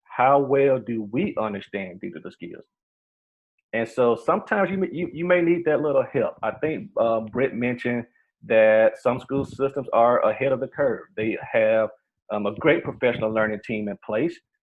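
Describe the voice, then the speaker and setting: A man's medium-pitched voice, an unremarkable speaking voice, at a moderate pace with lively intonation. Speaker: workshop trainer for educators. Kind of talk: online workshop presentation. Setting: video call.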